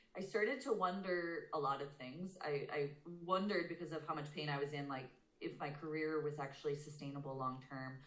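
This woman's voice is very deep and low, with fairly even intonation. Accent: American. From Boston, Massachusetts, US. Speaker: dental hygienist and yoga therapist. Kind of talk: casual interview chat.

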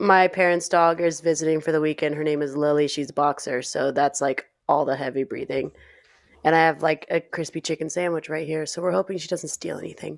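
A woman's put-on character voice, raspy and husky at a very deep, low pitch, with fairly even intonation and a fairly quick pace

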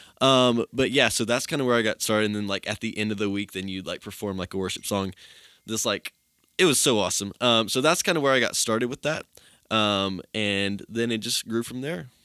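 A man with an East Tennessee accent speaks at a fairly quick pace in a fairly low pitch, his tone bright and sharp, with ordinary pitch variation, recorded very clean and dry and close with no echo against a silent background. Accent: Southern American (East Tennessee). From US South, Tennessee. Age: young. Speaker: college student, worship band leader. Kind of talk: casual interview chat. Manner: casual, many fillers (um, like).

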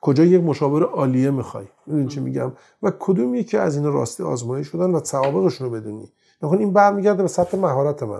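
In a dark, mellow tone, a man speaks very fast at a fairly high pitch, his voice making very wide pitch swings. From Iran, Tehran. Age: 50s. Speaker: audio industry engineer and magazine publisher. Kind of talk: interview. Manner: halting; formal.

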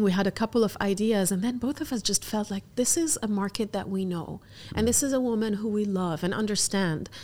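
The woman has a fairly high-pitched voice with ordinary pitch variation. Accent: Lebanese. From Algeria, raised in Abu Dhabi, Lebanon and UAE. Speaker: fashion entrepreneur. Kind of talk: interview.

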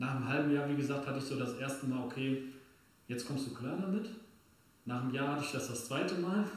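In a room with audible echo and noticeable background noise, a man talks at a very fast pace yet leaves long, frequent pauses. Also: medium pitch for a man, ordinary pitch variation. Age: 30s. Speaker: amputee runner. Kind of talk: casual chat.

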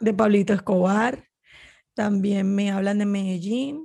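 At a very slow pace, a woman talks in a somewhat breathy voice of medium pitch. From Colombia, Barranquilla (Caribbean coast). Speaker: Spanish teacher. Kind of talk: interview conversation. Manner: halting, repeats words.

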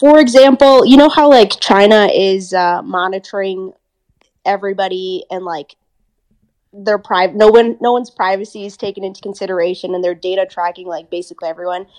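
A woman with an American accent speaks at a fairly quick pace with ordinary pitch variation. She has a plain, everyday voice. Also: medium pitch for a woman, big swings in loudness. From Minnesota, US (childhood partly in India and England). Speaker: medical student. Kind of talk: casual interview. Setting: remote call from India.

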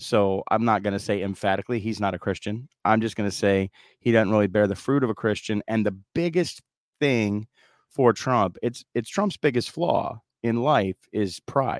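A man with a fairly low pitch and ordinary pitch variation uses a normal speaking voice on a very clean recording with a silent background and a dry, close sound with no echo. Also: moderate pace. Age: 40s. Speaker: political meme maker, former corrections officer. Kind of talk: casual chat.

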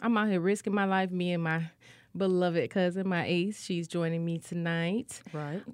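A woman talks at a moderate pace with fairly even intonation and a fairly low pitch. Hers is an ordinary speaking voice. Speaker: radio host. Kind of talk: casual chat. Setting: radio studio. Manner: chatty, casual; warm, friendly.

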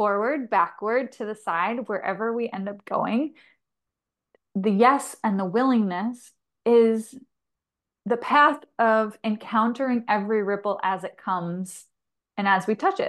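A woman's plain, everyday voice, fairly high-pitched with ordinary pitch variation, at a fairly slow pace against a quiet background. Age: 30s. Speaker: holistic nutrition practitioner and transformation guide. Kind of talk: casual chat.

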